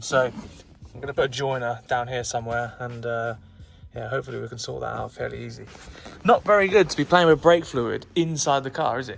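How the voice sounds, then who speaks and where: With music in the background, a man talks fairly quickly with an English accent and big swings in loudness. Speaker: car restoration youtuber. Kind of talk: vlog tutorial. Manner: fast.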